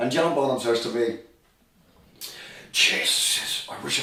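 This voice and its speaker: A man with a Dublin accent is heard over noticeable background noise with audible room echo. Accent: Dublin Irish. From Ireland, Dublin. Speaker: rock drummer. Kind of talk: casual chat, reminiscing. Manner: fast.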